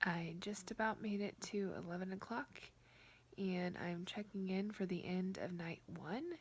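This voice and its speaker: Quiet and somewhat breathy, a woman speaks at a fairly slow pace with fairly even intonation. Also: medium pitch for a woman. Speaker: book vlogger. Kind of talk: casual vlog.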